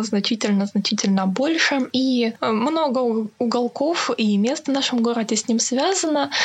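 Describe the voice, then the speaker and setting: A woman's high-pitched voice with noticeable background noise. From Krasnodar, southern Russia. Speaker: culture and history blogger, museum worker. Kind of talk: storytelling interview. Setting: remote call from home.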